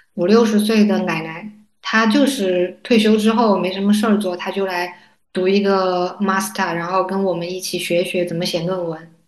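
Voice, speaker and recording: A woman speaks at a moderate pace with a medium pitch. Her intonation is fairly even, and audible room echo surrounds her voice. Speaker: graduate student. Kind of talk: casual chat.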